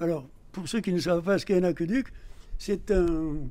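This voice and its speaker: A man speaks in a dark, mellow tone. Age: 70s. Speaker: retired journalist and local councillor. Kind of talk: interview answering schoolchildren's questions, explanatory. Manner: hesitant, with frequent fillers.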